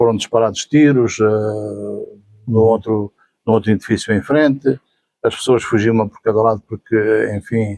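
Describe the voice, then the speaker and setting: In a European Portuguese accent, a man talks at a medium pitch with a dark, mellow tone and fairly even intonation, in a dry, close sound with no echo. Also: moderate pace. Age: 70s. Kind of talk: interview answer. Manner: hesitant, repetitive.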